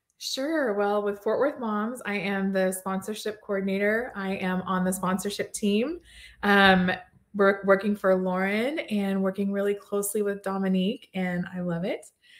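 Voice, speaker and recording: In a normal speaking voice, a woman with an American accent speaks at medium pitch and a moderate pace with fairly even intonation, on a very clean recording with a silent background. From Texas, Plano. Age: 40s. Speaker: sponsorship coordinator for a parenting website. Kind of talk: casual interview.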